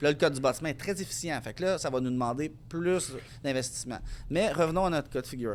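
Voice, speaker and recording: A man with a fairly high voice speaks at a fairly quick pace. His pitch varies in an ordinary way. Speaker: energy efficiency consultant and business owner. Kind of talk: podcast interview. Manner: fast.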